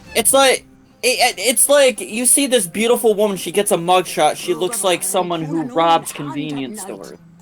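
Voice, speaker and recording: Someone speaks at a moderate pace over music in the background. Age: 30s. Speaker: gaming stream participant. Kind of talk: casual chat.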